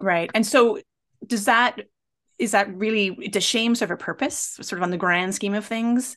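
Ordinary pitch variation at a moderate pace. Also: woman, quiet background. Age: 50s. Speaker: podcast host and pain coach. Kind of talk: interview.

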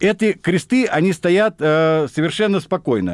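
Lively intonation from a man at a fairly slow pace, with a dry, close sound and no echo. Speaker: military historian, retired colonel. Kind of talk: radio interview. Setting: studio. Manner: animated.

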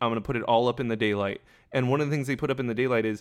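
Speaking very fast, a man holds a medium pitch that varies in an ordinary way. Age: 30s. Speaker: podcast co-host. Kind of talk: casual chat.

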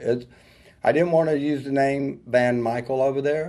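With a Southern US accent, a man speaks at a fairly slow pace in a dark, mellow tone. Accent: Southern US country. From US South, rural North Georgia. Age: 50s. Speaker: hairstylist and salon owner. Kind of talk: interview.

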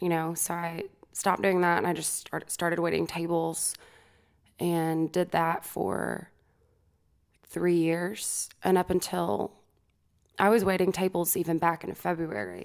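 On a very clean recording with a silent background, a woman speaks with an American accent. She talks at a fairly slow pace with long, frequent pauses. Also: fairly low pitch for a woman, fairly even intonation. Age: 20s. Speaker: singer-songwriter. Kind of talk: casual interview chat. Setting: studio.

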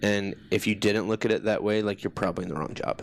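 With an American accent, this man holds a fairly low pitch and a monotone, flat intonation. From US Midwest (Des Moines, Iowa). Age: 30s. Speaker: army veteran. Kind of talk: personal testimony in interview.

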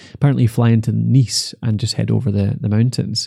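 A man with a Scottish accent talks at a fairly quick pace, his medium-pitched voice dark and mellow in tone. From Scotland, Dumfries. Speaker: podcast host. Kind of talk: casual chat; scripted outro.

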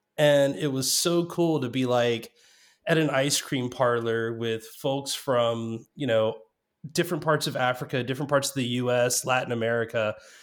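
A man talks at a medium pitch with ordinary pitch variation, in a plain, everyday voice. The recording is very clean, with a silent background. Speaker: guest, developer relations professional. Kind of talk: casual chat.

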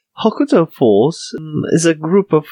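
A man with a Polish accent speaks at a fairly slow pace. His voice is fairly high, and his intonation is lively. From Poland. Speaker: podcast co-host. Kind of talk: casual chat.

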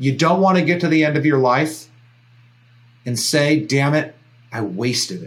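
Somewhat breathy, a man speaks at a fairly high pitch and a moderate pace with ordinary pitch variation. He leaves long, frequent pauses. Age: 40s. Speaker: podcast host. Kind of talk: motivational monologue.

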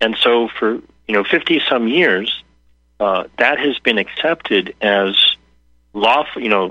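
Speaking with lively intonation at a fairly slow pace, this man has an ordinary speaking voice at a medium pitch. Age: 60s. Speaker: health policy researcher and activist. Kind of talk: interview.

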